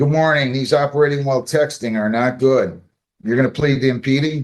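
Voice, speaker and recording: A man at a medium pitch, with a fairly quick pace and fairly even intonation. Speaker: judge. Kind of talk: courtroom proceedings. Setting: courtroom. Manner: loud; brisk.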